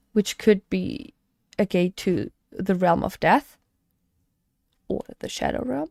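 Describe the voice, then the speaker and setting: Speaking very slowly with long, frequent pauses, a woman with a non-native accent is recorded in a dry, close sound with no echo. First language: not English. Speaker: gaming streamer. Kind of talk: live reaction commentary. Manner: halting, many fillers and restarts.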